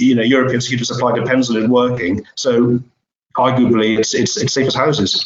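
A man with an unremarkable speaking voice, medium in pitch, fairly quick in pace and fairly even in intonation. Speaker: editor and webinar host. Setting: online webinar.

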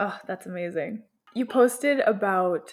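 With music in the background, a woman speaks at a very slow pace using lively intonation. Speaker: podcast host. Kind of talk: interview, casual conversation. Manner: soft-spoken.

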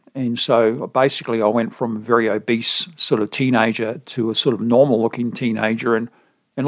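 A man with an Australian accent speaks at medium pitch in a very clean recording with a silent background. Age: 50s. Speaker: podcast host and author sharing weight-loss story. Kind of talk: interview conversation.

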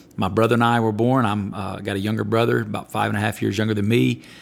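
With an Alabama accent, a man talks at a fairly low pitch. The recording is very clean and the background silent. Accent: Southern US (Alabama). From US South, Alabama. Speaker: pastor. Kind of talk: interview. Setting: studio.

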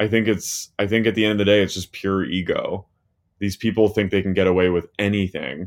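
A man with an American accent and an ordinary speaking voice, fairly low in pitch, fairly quick in pace, with fairly even intonation. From US, New Jersey. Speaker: writer and podcaster. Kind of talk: casual chat.

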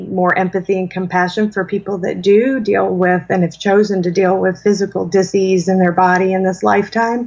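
A woman of medium pitch speaks at a moderate pace against a quiet background. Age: 40s. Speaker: spiritual mentor and author. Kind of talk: interview.

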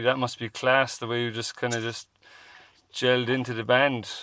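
The tone is bright and sharp. The delivery moves at a fairly quick pace. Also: man. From Ireland, Cork. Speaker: podcast host. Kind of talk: casual chat.

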